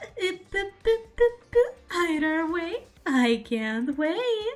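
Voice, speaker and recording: In a put-on character voice, a woman speaks very slowly, squeaky and extremely high, her pitch swinging very widely. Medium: virtual streamer. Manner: playful, mocking, casually cruel.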